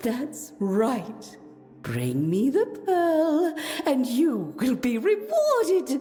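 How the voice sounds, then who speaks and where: A woman's cartoonish character voice, high-pitched and very slow, over clear music in the background. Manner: sing-song, repetitive phrasing.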